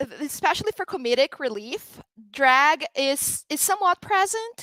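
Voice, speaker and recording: A woman's high, raised, projected voice with a bright, sharp tone, at a moderate pace with very wide pitch swings, in a dry, close sound with no echo. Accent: Portuguese. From Brazil. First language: Portuguese. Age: 30s. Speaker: drag performer. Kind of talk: interview conversation.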